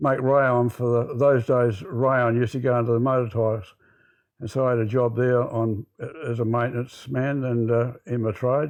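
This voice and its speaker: At a moderate pace and medium pitch, a man talks in a flat monotone against a quiet background. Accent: Australian. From South Australia, Port Pirie. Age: 80s+. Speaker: retired tradesman and real estate agent. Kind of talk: interview.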